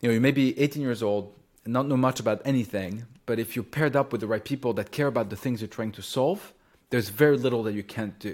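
On a very clean recording with a silent background, a man speaks with a French accent. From France, Champagne region. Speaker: startup founder and CEO. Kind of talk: interview.

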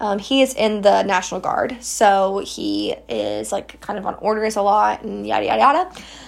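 Speaking with an American accent, a woman keeps a moderate pace with hardly any pauses. Noticeable background noise is present. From West Virginia, US. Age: 20s. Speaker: podcast host, college student. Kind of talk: casual solo monologue. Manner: animated.

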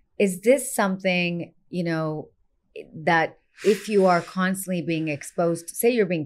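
Fairly low in pitch, a woman uses a plain, everyday voice with ordinary pitch variation. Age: 50s. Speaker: naturopathic doctor. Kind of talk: casual chat. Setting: clinic.

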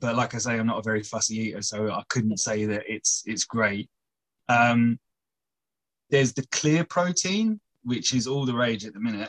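A man in a normal speaking voice, medium pitch, moderate pace, ordinary pitch variation, and a dry, close sound with no echo. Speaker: personal trainer. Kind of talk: casual chat, interview. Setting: video call on phone.

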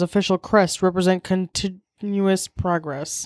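On a very clean recording with a silent background, a woman with an unremarkable speaking voice speaks with fairly even intonation. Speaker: podcast co-host. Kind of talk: casual chat. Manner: joking, playful.

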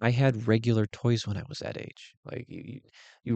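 A man's voice, fairly slow, dry and close with no echo, over a quiet background. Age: 30s. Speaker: podcast host. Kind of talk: solo casual monologue. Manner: casual, filler-heavy.

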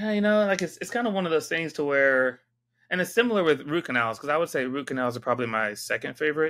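The man's speech races along very fast. He uses lively intonation. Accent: American. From San Diego, California. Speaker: dentist. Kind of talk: interview. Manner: halting.

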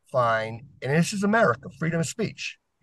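An animated, somewhat breathy tone. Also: man. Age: 40s. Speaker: podcast guest. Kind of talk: casual discussion.

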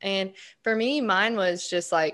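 A woman's bright, sharp tone with a Southern US accent, fairly slow and fairly even in intonation, over a quiet background. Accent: Southern American. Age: 20s. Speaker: podcast co-host, real estate agent and student. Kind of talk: casual chat.

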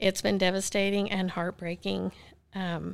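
The woman's medium-pitched voice comes through on a very clean recording with a silent background. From Oklahoma. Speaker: bereaved mother sharing her story. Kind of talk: personal testimony in interview.

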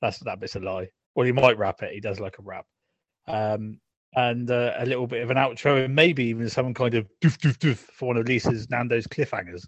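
Here is a man with an unremarkable speaking voice. He moves at a fairly quick pace with ordinary pitch variation. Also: medium pitch for a man. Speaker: podcast co-host. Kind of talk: casual chat. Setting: sitting on sofa at home.

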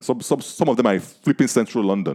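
Speaking very fast with a Nigerian accent, a man uses a dark, mellow tone and very wide pitch swings. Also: dry, close sound with no echo. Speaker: podcast host. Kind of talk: casual chat.

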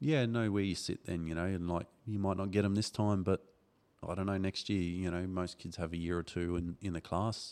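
Very deep, low male speech, its intonation fairly even. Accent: Australian. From Darwin, Northern Territory, Australia. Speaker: motocross club organiser and former racer. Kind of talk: casual chat. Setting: studio.

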